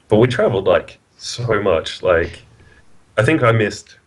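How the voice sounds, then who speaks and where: With an Australian accent, a man at medium pitch sounds somewhat breathy as he talks at a moderate pace. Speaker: card game player. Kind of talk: casual interview.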